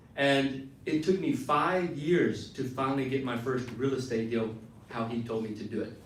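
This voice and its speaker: In a room with audible echo and noticeable background noise, a man speaks at a moderate pace and medium pitch with ordinary pitch variation. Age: 30s. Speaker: real estate investor. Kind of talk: motivational talk. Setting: stage with audience.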